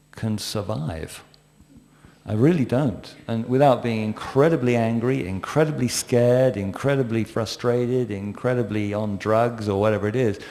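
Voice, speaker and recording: A man's fairly low, dark and mellow voice in an English accent, at a fairly slow pace with ordinary pitch variation. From England. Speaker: panelist in spiritual discussion. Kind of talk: panel discussion.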